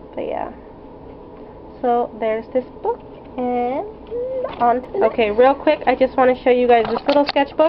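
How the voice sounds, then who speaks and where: Against noticeable background noise, a woman talks at a moderate pace in a fairly high pitch. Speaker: artist. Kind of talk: casual talk to camera.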